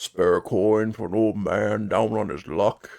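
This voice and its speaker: Putting on a raspy character voice, a man speaks slowly-ish at a fairly slow pace and fairly low pitch. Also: fairly even intonation. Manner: pleading.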